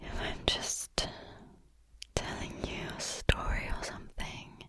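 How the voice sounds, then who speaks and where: A woman's whispering at a very slow pace over noticeable background noise. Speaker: ASMR creator. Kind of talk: whispered ramble. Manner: natural pace.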